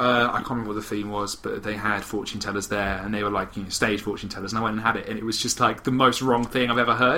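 A man talks very fast with hardly any pauses, at a fairly low pitch. His intonation is monotone and flat, with noticeable background noise. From Britain. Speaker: podcast co-host. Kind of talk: casual chat.

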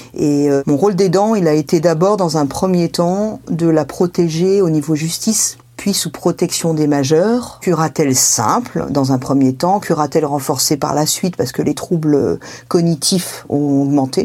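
Over noticeable background noise, a woman with a very deep, low pitch speaks at a fairly slow pace with ordinary pitch variation. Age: 50s. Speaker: family caregiver. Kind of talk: testimony.

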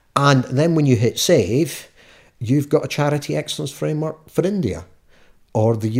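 A man with a west of Scotland accent, somewhat breathy and lively in intonation, in a very clean recording with a silent background. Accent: west of Scotland Scottish. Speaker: charity consultant. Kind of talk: interview. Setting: at home.

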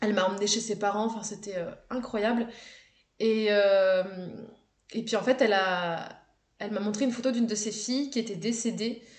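A woman's fairly high voice at a moderate pace, with fairly even intonation and audible room echo. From France, Haute-Savoie. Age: 20s. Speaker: travel content creator. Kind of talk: casual interview chat. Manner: hesitant, many fillers and repetitions.

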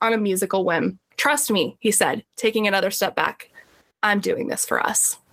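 The speaker reads aloud plainly, with fairly even intonation. The background is quiet.

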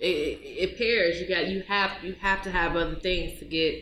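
Speaking in a plain, everyday voice, a woman keeps a moderate pace, her pitch medium and its variation ordinary. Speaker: podcast co-host. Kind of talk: casual chat.

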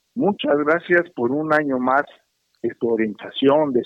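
Speaking at a fairly slow pace, a man with an ordinary speaking voice uses a fairly high pitch and lively intonation, the sound dry and close with no echo. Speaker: caller, listener. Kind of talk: phone call comment. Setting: phone call.

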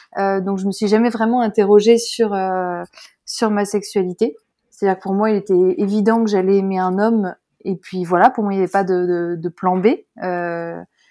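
A woman's medium-pitched, dark, mellow voice at a moderate pace with fairly even intonation, on a very clean recording with a silent background. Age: 30s. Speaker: author sharing her coming-out and parenting story. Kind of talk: testimony. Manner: halting, many hesitations.

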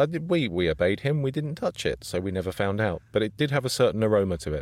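Using vocal fry, a man with a British accent speaks at a fairly quick pace with very wide pitch swings. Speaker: podcast co-host and voiceover artist. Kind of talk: casual chat.

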